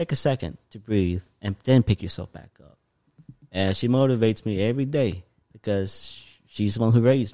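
A dark, mellow tone with ordinary pitch variation and big swings in loudness. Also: man, fairly low pitch for a man, moderate pace. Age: 20s. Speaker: podcast host. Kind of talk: casual chat. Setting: in guest's apartment.

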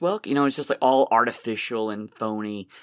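A man talks at a moderate pace with medium pitch and an unremarkable speaking voice. The sound is dry and close with no echo, in a very clean recording with a silent background. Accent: American. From Massachusetts, Boston area (Somerville). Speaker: magician, comedian and comedy professor. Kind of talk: casual interview conversation.

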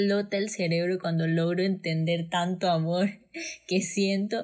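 A woman does the talking. Her recording is very clean, and the background is silent. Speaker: guest. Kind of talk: testimony. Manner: animated.

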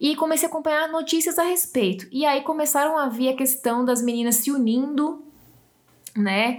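Loudness stays very even as the speaker moves at a moderate pace with ordinary pitch variation. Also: woman, high pitch for a woman. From Brazil, Northeast. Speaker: podcast host. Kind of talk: reading aloud; casual chat.

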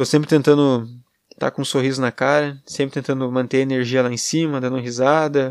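A man at medium pitch and a fairly quick pace, monotone and flat, in a very clean recording with a silent background. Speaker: podcaster. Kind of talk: solo monologue, personal venting. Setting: alone at girlfriend's home. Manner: rambling, hesitant.

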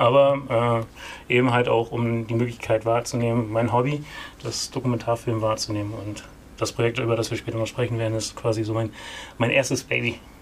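His intonation stays monotone and flat. The speaker is a man with a medium pitch. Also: fairly quick pace. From East Frisia, northern Germany. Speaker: film producer. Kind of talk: interview.

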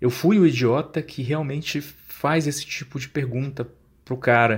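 A man with an unremarkable speaking voice, a fairly slow pace and ordinary pitch variation. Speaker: podcast host. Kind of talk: storytelling. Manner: casual.

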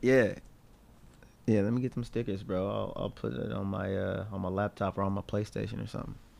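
A man's fairly low voice with vocal fry, ordinary pitch variation and a fairly quick pace. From Tennessee. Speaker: rapper. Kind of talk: casual chat.

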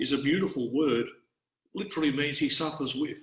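This man talks at a fairly quick pace. He speaks with an Australian accent. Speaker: priest. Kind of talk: scripture study talk. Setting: church, live-streamed.

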